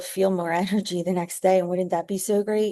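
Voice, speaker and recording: Against a quiet background, a woman speaks in a dark, mellow tone with monotone, flat intonation. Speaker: fitness instructor. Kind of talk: motivational talk to camera. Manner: hesitant, many fillers.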